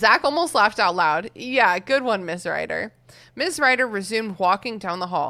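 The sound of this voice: Someone reads aloud in a voice that sounds unforced.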